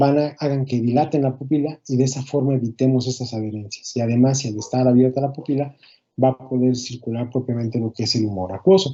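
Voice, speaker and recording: Here a man speaks at a very fast pace with ordinary pitch variation. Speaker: ophthalmology lecturer. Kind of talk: lecture.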